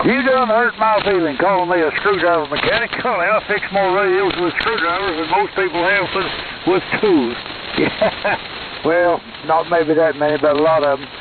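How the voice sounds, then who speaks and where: A man with a Texas accent and a high pitch talks at a moderate pace with ordinary pitch variation, amid noticeable background noise. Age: 80s+. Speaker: ham radio operator, Air Force veteran. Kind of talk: amateur radio net. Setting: radio transmission. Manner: halting.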